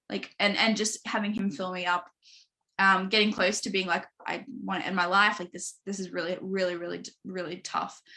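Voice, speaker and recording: The speaker uses a bright, sharp tone with vocal fry, in an Australian accent, at a fairly quick pace with monotone, flat intonation. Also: woman, medium pitch for a woman. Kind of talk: podcast interview, personal testimony. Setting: live online stream. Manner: fast; casual, filler-heavy.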